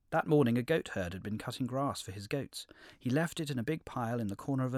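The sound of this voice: This is an unforced reading voice. The delivery stays an unforced reading voice.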